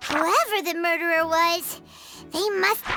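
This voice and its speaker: An extremely high-pitched put-on character voice plays over clear music in the background. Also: fairly slow pace. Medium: video game.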